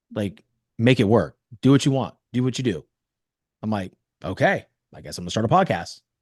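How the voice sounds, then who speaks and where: With a Californian accent, a man speaks in an animated tone at a fairly quick pace, his medium pitch swinging very widely, with vocal fry and long, frequent pauses. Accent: General American (Californian). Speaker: podcast host and mental performance coach. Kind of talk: interview storytelling.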